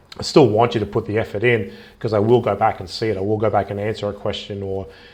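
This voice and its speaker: In a monotone, flat intonation, a man with a fairly low pitch speaks at a very fast pace. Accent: Australian. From Australia. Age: 30s. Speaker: travel vlogger. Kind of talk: casual live stream monologue. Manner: hesitant, many fillers.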